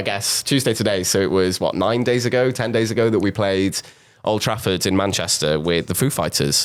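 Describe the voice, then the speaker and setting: Speaking at a fairly quick pace, a man has a South Wales Valleys accent. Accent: Welsh (South Wales valleys). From South Wales, Pontypridd. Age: 20s. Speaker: drummer. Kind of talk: interview.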